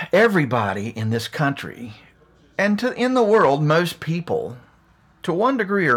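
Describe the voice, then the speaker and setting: Speaking at a moderate pace with an Appalachian accent, a man uses a fairly high pitch that swings very widely. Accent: Appalachian American. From US Appalachia, West Virginia. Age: 50s. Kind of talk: monologue rant.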